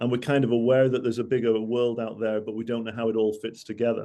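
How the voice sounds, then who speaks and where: A man's medium-pitched voice with a Mancunian accent and a dark, mellow tone. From Manchester, northern England. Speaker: travel industry speaker. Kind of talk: business presentation. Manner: hesitant, many fillers and repeats.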